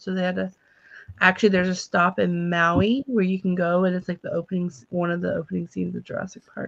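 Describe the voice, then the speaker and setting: Talking at a very fast pace in a Texas accent, a woman swings widely in loudness, recorded in a dry, close sound with no echo. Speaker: livestream co-host. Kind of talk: casual chat. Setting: late-night livestream.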